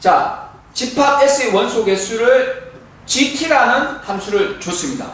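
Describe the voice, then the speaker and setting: The speaker talks at a very slow pace over noticeable background noise. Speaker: math tutor. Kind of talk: tutorial. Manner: casual.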